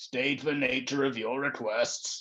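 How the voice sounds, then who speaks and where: This man uses a put-on character voice pitched at a medium level. His words come at a fairly slow pace. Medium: read story. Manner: formal, officious.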